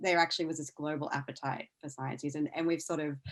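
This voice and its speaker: A woman talks with an Australian accent. Her pitch sits very deep and low. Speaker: science news executive and former science journalist. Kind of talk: podcast interview.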